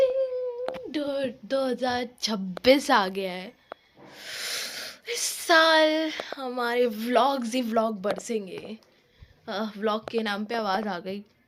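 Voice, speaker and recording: Amid noticeable background noise, a woman with a high pitch speaks at a very slow pace with long, frequent pauses, ordinary pitch variation and big swings in loudness. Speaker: vlogger. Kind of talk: casual vlog chat. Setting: at home, sitting in a blanket.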